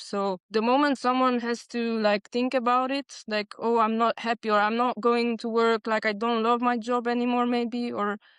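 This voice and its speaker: Fairly high female voice with a Hungarian accent, at a moderate pace with monotone, flat intonation, in a dry, close sound with no echo. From Transylvania, Romania (Hungarian minority). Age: 30s. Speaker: bartender. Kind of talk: panel interview.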